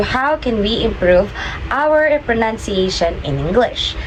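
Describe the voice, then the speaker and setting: Someone speaks at a moderate pace with ordinary pitch variation over noticeable background noise. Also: woman. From Philippines. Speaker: podcast host. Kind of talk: casual chat.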